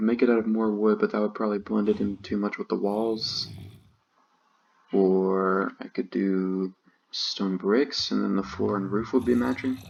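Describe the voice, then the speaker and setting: Soft-spoken and fairly low in pitch, a man talks at a moderate pace with fairly even intonation. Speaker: gaming YouTuber. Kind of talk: gameplay commentary. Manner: calm, laid back.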